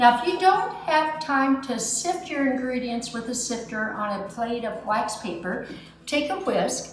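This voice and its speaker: A high-pitched woman speaks at a fairly slow pace with lively intonation, heard with audible room echo and noticeable background noise. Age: 60s. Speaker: home baker, cooking show host. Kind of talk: cooking tutorial. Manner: chatty, animated.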